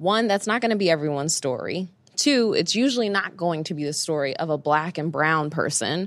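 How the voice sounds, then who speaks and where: Against a quiet background, a woman with a fairly low pitch speaks at a fairly quick pace with lively intonation. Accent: New York. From Brooklyn, New York. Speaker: CEO and career coach. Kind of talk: interview.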